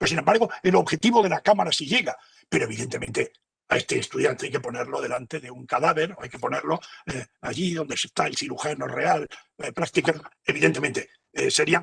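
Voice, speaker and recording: A man talks at a fairly quick pace in a fairly high pitch with vocal fry. The sound is dry and close, with no echo. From Spain. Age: 70s. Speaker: professor. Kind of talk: lecture Q&A. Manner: halting.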